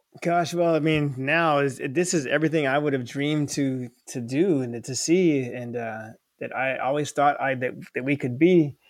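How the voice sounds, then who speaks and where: With an American accent, a man talks in a plain, everyday voice and fairly even intonation. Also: fairly high pitch for a man, moderate pace. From US South, Florida. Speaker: college professor. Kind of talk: casual chat. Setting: video call.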